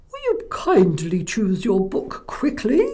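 A high-pitched, put-on character voice with very wide pitch swings at a fairly slow pace. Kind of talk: polite, kindly. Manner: funny.

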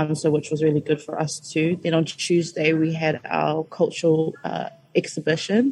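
With a New Zealand accent, a woman speaks in a very deep, low pitch. Her tone is dark, mellow and somewhat breathy. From Christchurch, New Zealand. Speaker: student association officer. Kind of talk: radio interview. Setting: radio studio.

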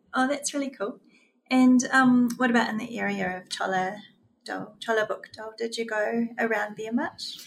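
Background music under a moderate delivery with ordinary pitch variation. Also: woman, fairly high pitch for a woman. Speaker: radio podcast host. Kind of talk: casual interview chat.

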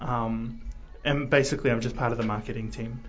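Somewhat breathy, a man speaks. Audible room echo surrounds him. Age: young. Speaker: graphic design student. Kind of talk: radio interview. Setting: radio studio. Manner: hesitant, many fillers.

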